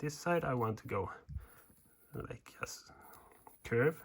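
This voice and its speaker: Lively intonation in a Swedish accent. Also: man. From Sweden. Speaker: woodcarving instructor. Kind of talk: tutorial. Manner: casual, hesitant in wording.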